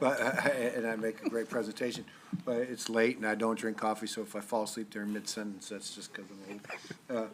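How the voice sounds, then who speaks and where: A man speaks at a medium pitch in a monotone, flat delivery, with noticeable background noise. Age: 60s. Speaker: city council member, deputy mayor. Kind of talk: council meeting discussion. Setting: council chamber meeting. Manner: halting, repeats words.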